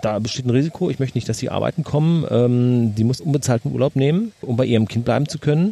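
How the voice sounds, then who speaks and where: A man talking very fast at a medium pitch with ordinary pitch variation, over noticeable background noise. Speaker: podcast host. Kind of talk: casual chat. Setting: outdoors in a garden.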